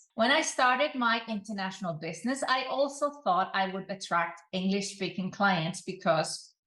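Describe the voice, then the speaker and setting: With a non-native accent, a woman speaks at a moderate pace and medium pitch, her bright, sharp tone moving through very wide pitch swings. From Iceland. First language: Icelandic. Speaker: online business coach. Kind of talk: advice talk to camera.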